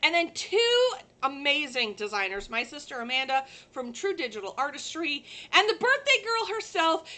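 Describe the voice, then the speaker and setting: A woman's raised, projected voice is high in pitch, bright and sharp in tone, and moves in very wide pitch swings. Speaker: livestream host, sublimation crafter. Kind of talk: casual livestream chat. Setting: live stream from a working shop. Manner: loud.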